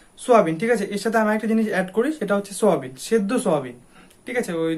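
His tone is animated. The man's pitch moves in an ordinary way. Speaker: fitness YouTuber. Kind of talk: casual tutorial to camera.

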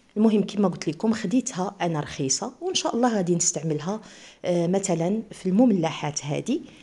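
A woman speaks with an eastern Moroccan accent and lively intonation. Her tone is dark and mellow, somewhat breathy. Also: medium pitch for a woman, moderate pace. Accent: eastern Moroccan Arabic (Oujda). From eastern Morocco, Oujda; Morocco. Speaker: cooking channel host. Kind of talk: cooking tutorial. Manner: casual, chatty. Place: home room. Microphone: phone near.

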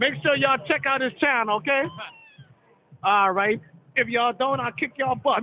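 Heard over light background noise, a man speaks at an extremely high pitch with ordinary pitch variation, the sound dry with no echo. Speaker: amateur show host. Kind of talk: casual street interview. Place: hall. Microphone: phone near.

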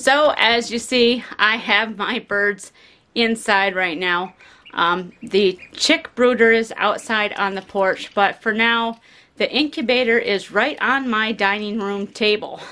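A woman talks at a very slow pace. Her tone is bright and sharp. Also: ordinary pitch variation. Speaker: homesteader vlogger. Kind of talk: casual vlog chat. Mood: relaxed, cheerful. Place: home room. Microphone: phone near.

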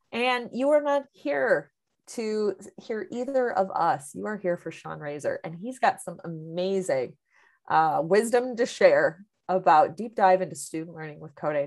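A woman speaks at a fairly slow pace with very wide pitch swings and big swings in loudness. The background is quiet. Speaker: webinar host. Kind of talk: webinar introduction. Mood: friendly, upbeat. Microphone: video call.

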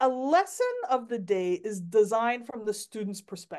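A woman speaks at a high pitch and a moderate pace, her pitch swinging very widely over a quiet background. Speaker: workshop presenter for teachers. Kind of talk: online workshop presentation. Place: home room. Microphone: video call.

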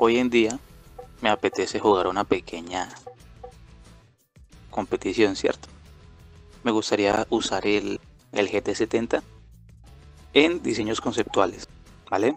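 Over music in the background, a man speaks at a fairly slow pace with long, frequent pauses. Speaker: gaming YouTuber. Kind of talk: casual gameplay commentary. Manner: hesitant, improvised.

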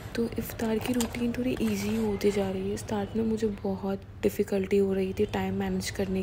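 A woman speaks at a fairly slow pace. Noticeable background noise is present. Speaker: home cooking video creator. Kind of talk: cooking tutorial voiceover; casual cooking tutorial. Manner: halting, with many fillers. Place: kitchen. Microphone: phone near.

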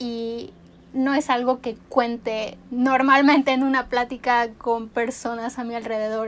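Her voice is high-pitched, and this woman speaks in a monotone, flat intonation. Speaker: beauty youtuber. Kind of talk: casual chat while doing makeup. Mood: relaxed, chatty. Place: home room.

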